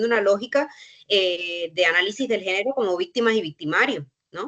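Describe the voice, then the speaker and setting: A woman talks at a fairly quick pace in a Cuban accent. Her pitch varies in an ordinary way. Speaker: university researcher. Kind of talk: panel discussion. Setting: online workshop. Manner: halting, with frequent fillers.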